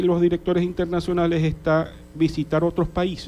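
A man speaks with a dark, mellow tone. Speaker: journalist and service club director. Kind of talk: radio interview. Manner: halting, many fillers.

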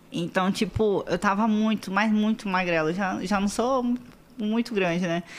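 A woman talks at a moderate pace and a fairly high pitch in a plain, everyday voice. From Espírito Santo, Brazil (Vila Velha). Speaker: model and digital influencer. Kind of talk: casual chat.

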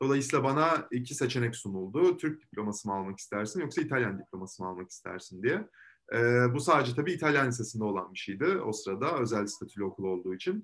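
On a very clean recording with a silent background, a man talks very fast at a medium pitch with very wide pitch swings. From Istanbul, Turkey. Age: 20s. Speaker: law student. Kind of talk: interview. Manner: hesitant with frequent fillers.

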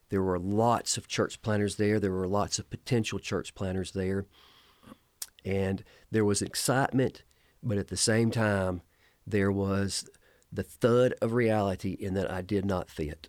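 A man with a Southern US accent, fairly low in pitch, at a fairly slow pace with fairly even intonation, on a very clean recording with a silent background. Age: 50s. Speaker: pastor. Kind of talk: casual interview. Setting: studio.

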